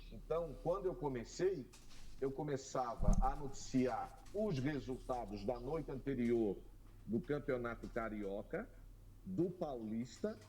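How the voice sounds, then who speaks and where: This voice has a dark, mellow tone with vocal fry. Its pitch swings very widely. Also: man. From Brazil, Florianópolis, Santa Catarina. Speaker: radio sports broadcaster. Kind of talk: interview conversation.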